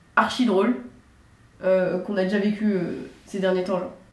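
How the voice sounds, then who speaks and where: A woman speaks at a fairly slow pace. Noticeable background noise and audible room echo surround her voice. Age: 20s. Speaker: judo athlete and channel host. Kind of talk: casual chat.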